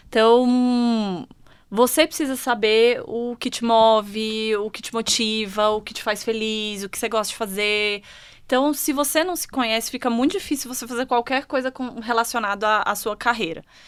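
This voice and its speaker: In a Brasília accent, a woman speaks at a moderate pace and a fairly high pitch, with ordinary pitch variation and big swings in loudness, on a very clean recording with a silent background. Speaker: HR manager. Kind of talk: panel discussion.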